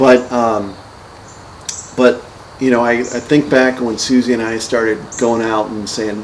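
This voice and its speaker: With an American accent, a man speaks at a fairly slow pace and a medium pitch, with long, frequent pauses. His intonation is monotone and flat, and noticeable background noise is present. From northern Ohio, US. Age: 50s. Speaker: real estate investor. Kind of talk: casual chat. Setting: podcast recording over beers. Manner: halting.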